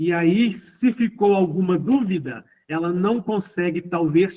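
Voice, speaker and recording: A high-pitched man at a very slow pace, with ordinary pitch variation. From Minas Gerais, Brazil (Ibiá). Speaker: teacher. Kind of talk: online lecture. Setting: remote online class.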